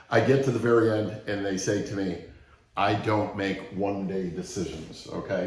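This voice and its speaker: Fairly low in pitch, a man speaks at a moderate pace with fairly even intonation, with audible room echo. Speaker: sales trainer. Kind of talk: training talk with story.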